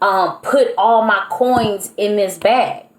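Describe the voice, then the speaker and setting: Over noticeable background noise, a woman with a fairly high pitch speaks with lively intonation. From US Midwest, St. Louis, Missouri. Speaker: herbalist and spiritual practitioner. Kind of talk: casual monologue vlog. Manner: casual, conversational with fillers.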